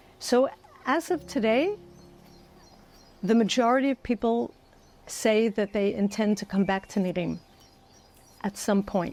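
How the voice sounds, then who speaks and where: A woman with a New York accent, ordinary pitch variation, and long, frequent pauses. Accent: New York American English. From United States, New York (Bronx). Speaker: former educator, October 7 survivor. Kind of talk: interview answer.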